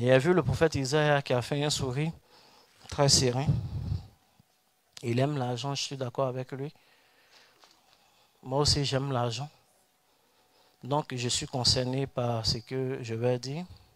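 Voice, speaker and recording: A man at a medium pitch with monotone, flat intonation, a fairly slow pace and long, frequent pauses. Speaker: pastor. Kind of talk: sermon. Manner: soft-spoken; emphatic prophetic declarations.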